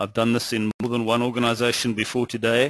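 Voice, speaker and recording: In a South African accent, a man speaks with a dry, close sound and no echo. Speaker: finance executive and webinar presenter. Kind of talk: webinar presentation. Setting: webinar.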